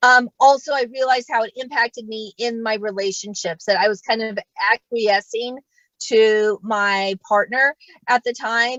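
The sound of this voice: With an American accent, a woman speaks fairly slowly in a fairly bright tone at a fairly high pitch, her intonation fairly even and the sound dry and close with no echo.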